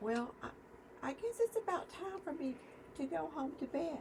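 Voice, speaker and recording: Someone uses a put-on character voice over clear background noise. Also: moderate pace. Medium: read story. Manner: eager, impulsive.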